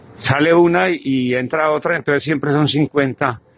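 A man's fairly high voice, a plain, everyday voice, with ordinary pitch variation and a dry sound with no echo. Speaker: supermarket worker abroad, guest. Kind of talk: recorded testimony and street interview. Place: street. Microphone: phone near.

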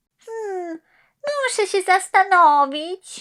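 In a put-on character voice, squeaky and extremely high, the words come at a very slow pace in a very clean recording with a silent background. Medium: read story. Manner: thoughtful, curious.

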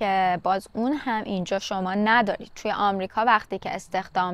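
A woman speaks in a dry recording with no echo. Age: 30s. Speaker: vlogger. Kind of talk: casual vlog monologue. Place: garden. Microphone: lapel.

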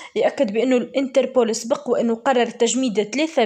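Her pace fairly slow, a woman speaks with ordinary pitch variation. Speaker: news commentator. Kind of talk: news commentary. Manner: halting.

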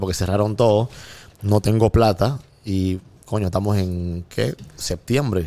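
With a Panamanian accent, a man speaks in a dark, mellow tone at a fairly low pitch with fairly even intonation. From Panama, Colón. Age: 30s. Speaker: music producer; guest. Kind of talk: casual chat. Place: studio. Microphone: studio mic.

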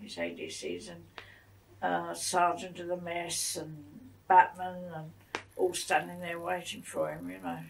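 With a southern English accent, a woman speaks at a fairly slow pace in a fairly low pitch with vocal fry. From England, Broadwater Down. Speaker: war-time civilian witness. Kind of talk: interview answer. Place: home room. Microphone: old recording.

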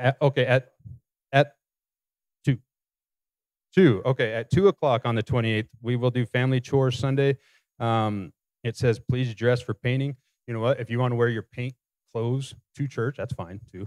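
A man speaks at a medium pitch and a moderate pace with fairly even intonation, leaving long, frequent pauses, in a dry sound with no echo over a quiet background. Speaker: church announcer and prayer leader. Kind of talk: announcements and short prayer. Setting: church. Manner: casual, hesitant with fillers. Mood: casual, slightly hesitant. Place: church. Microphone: handheld.

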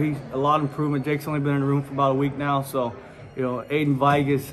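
Background noise is noticeable throughout. A man's voice comes through over it. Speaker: wrestling coach. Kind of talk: interview answer. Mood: upbeat, proud. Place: hall. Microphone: phone near.

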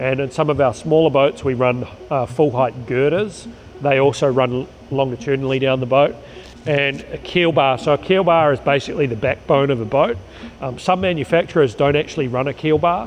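A man talks fairly quickly with ordinary pitch variation, and light background noise can be heard. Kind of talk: explanatory walkthrough. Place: factory.

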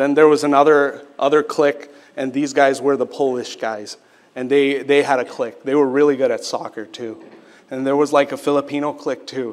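Speaking at a fairly quick pace, a man uses a fairly high voice with monotone, flat intonation. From Quebec, Canada (Sri Lankan family). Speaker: pastor. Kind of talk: sermon. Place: church. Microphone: podium.

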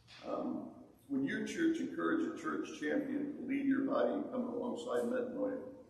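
A man talks fairly quickly, and audible room echo surrounds him. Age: 60s. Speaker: prison ministry worker; guest. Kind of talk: testimony. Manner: halting. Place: church.

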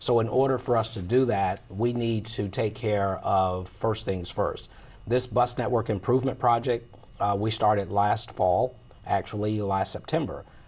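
A somewhat breathy man speaks at a fairly low pitch with very even loudness. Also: moderate pace. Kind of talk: interview answer. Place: studio. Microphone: lapel.

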